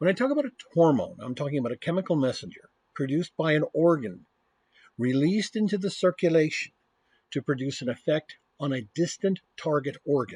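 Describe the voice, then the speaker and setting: Fairly quick and lively, a man with an American accent speaks at a fairly high pitch. The sound is dry and close with no echo, against a quiet background. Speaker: university professor. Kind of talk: lecture.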